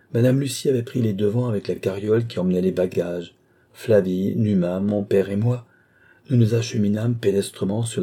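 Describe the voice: The speaker reads aloud plainly. Pitch varies by an ordinary amount.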